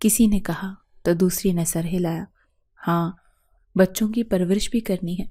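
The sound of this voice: Against a quiet background, an unforced reading voice comes through.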